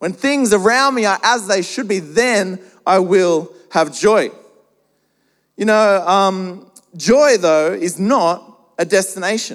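Very slowly and with long, frequent pauses, a man with an Australian accent speaks in a high pitch with ordinary variation. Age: 30s. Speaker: pastor. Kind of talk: sermon. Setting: church.

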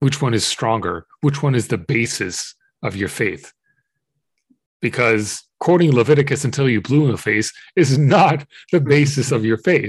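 Against a quiet background, a man talks in a medium pitch, somewhat breathy, with lively intonation. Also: moderate pace. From Israel. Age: 30s. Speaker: pagan interfaith activist. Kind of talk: interview conversation.

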